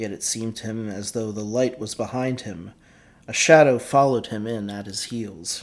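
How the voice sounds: This is a natural reading voice. It is heard in a natural reading voice throughout.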